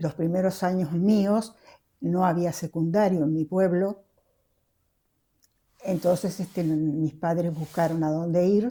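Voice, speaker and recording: A woman speaks very slowly in a fairly low pitch, with a dark, mellow tone and fairly even intonation. Long, frequent pauses break up her speech on a very clean recording with a silent background. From Argentina, Córdoba province, moved to La Plata as a youth. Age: 80s+. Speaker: interviewee, Basque centre founding member. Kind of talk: oral history interview. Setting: at home in living room.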